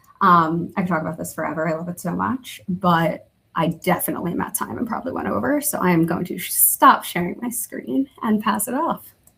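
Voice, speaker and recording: Hardly pausing, a woman with an American accent talks at a fairly quick pace in a fairly low voice that makes very wide pitch swings. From New Jersey. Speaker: internal communications professional. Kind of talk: webinar demo. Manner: fast.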